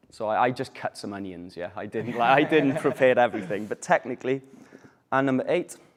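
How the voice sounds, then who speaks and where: Here a man speaks with a Welsh accent at a fairly quick pace. His pitch varies in an ordinary way. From Wales. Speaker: English teacher. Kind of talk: language class.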